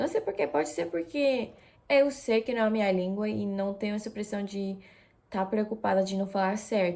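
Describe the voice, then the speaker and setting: At a moderate pace, a woman speaks at a medium pitch in a dark, mellow tone with ordinary pitch variation. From Japan. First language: Japanese, Russian and Spanish (speaking Portuguese). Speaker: vlogger. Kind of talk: casual vlog talk. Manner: hesitant, many fillers.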